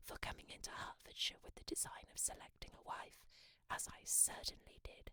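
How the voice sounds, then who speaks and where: The speaker is whispering. The pace is moderate. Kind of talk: audiobook reading. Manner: whispered.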